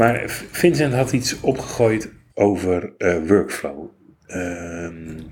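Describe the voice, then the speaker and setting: Lively intonation colors this man's speech. He talks very slowly. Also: fairly low pitch for a man. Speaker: podcast host, blind ICT worker. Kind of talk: casual chat. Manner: soft-spoken; normally loud.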